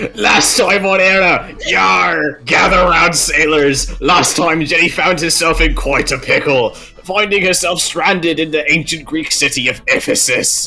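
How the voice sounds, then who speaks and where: A man's put-on character voice, high in pitch, at a moderate pace with clear background noise. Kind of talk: actual play stream banter. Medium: actual play.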